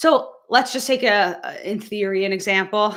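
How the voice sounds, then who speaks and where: At a moderate pace, a woman speaks in a bright, sharp tone with ordinary pitch variation. The recording is very clean, and the background is silent. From United States. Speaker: medical doctor. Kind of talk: live stream Q&A tutorial. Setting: live stream. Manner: casual, hesitant with fillers.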